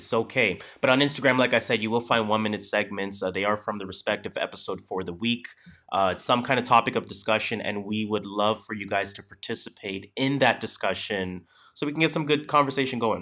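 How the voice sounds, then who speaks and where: A man speaks in a fairly low pitch at a fairly quick pace. His tone is bright and sharp, with ordinary pitch variation. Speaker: podcast host. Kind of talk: casual chat. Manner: animated.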